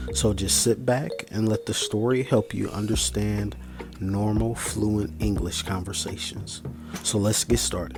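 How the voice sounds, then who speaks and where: A man with an American accent speaks at a fairly slow pace and a fairly low pitch, with very wide pitch swings. Noticeable background noise sits behind him. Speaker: English pronunciation teacher. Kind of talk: casual channel intro to camera.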